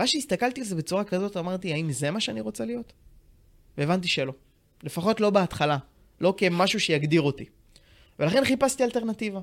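In a very clean recording with a silent background, a high-pitched man talks at a fairly quick pace with very wide pitch swings and long, frequent pauses. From Israel, Tiberias. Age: 20s. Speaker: financial planner. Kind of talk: podcast interview.

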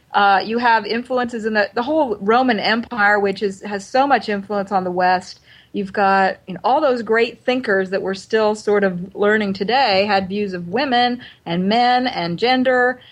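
A woman speaks at a moderate pace with fairly high pitch and ordinary pitch variation. She has a plain, everyday voice. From US Pacific Northwest, Oregon. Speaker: writer and seminary professor. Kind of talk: interview.

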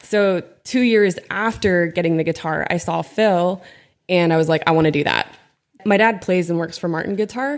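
A normal speaking voice with ordinary pitch variation at a moderate pace. The recording is very clean, with a silent background. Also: woman, fairly low pitch for a woman. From Pennsylvania, small town. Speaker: youth minister and worship leader. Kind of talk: casual chat. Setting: studio, own mic.

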